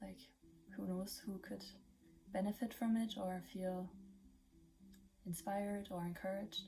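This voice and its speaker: A woman with a German accent speaks at a medium pitch in a dark, mellow, somewhat breathy tone with fairly even intonation. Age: 20s. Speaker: vlogger. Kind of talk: casual vlog monologue. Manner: halting, many fillers.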